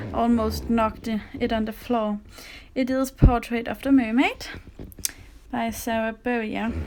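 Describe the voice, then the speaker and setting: A woman with a Danish accent talks fairly slowly in a fairly high, monotone voice, with flat intonation and long, frequent pauses. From Denmark. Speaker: coloring livestreamer. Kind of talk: livestream chat while coloring. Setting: live stream with camera on tripod.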